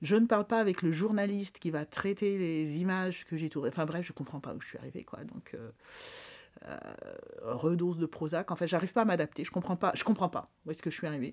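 Ordinary pitch variation marks a woman talking at a very fast pace. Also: fairly low pitch for a woman. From rural France. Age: 60s. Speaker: public health nurse. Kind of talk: interview testimony. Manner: halting, many fillers.

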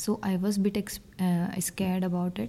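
A woman's somewhat breathy, medium-pitched voice with a dark, mellow tone. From North India. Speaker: exchange student. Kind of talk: interview. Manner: halting.

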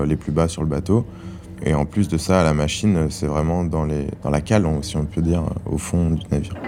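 Through noticeable background noise, a man speaks at a moderate pace and a very deep, low pitch with fairly even intonation. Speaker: ship engineer officer. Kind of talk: testimony. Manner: halting.

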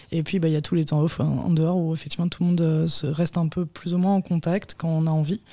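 A woman's dark, mellow, somewhat breathy voice at a fairly low pitch, very fast with hardly any pauses, with very even loudness and monotone, flat intonation. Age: 20s. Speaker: photographer. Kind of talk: interview. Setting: studio.

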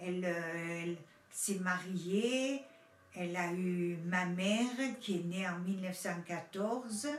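With noticeable background noise and audible room echo, a woman speaks at medium pitch and a very slow pace, with ordinary pitch variation and long, frequent pauses. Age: 70s. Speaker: witness, granddaughter of Italian immigrant. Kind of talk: testimony.

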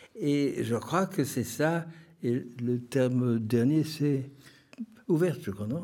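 A fairly high male voice with a dark, mellow tone and ordinary pitch variation. He talks at a very slow pace, with long, frequent pauses. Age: 80s+. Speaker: poet. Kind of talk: interview. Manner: halting.

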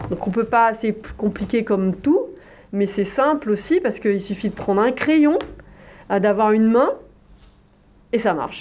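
A woman talks at a fairly slow pace with lively intonation. Her pauses are long and frequent. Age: 50s. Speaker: visual artist and illustrator. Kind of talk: interview. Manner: hesitant, many filler sounds.

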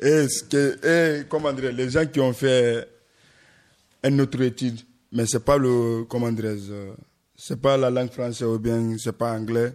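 In a very clean recording with a silent background, a man of medium pitch speaks at a very slow pace with fairly even intonation and long, frequent pauses. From Guinea. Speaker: asylum seeker, radio workshop participant. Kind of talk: discussion.

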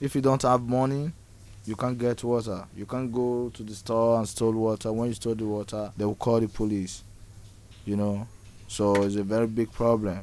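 At a fairly slow pace, a man talks in a dark, mellow tone with fairly even intonation. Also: medium pitch for a man. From Nigeria. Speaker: homeless migrant. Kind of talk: interview testimony. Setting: outdoors. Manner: halting.

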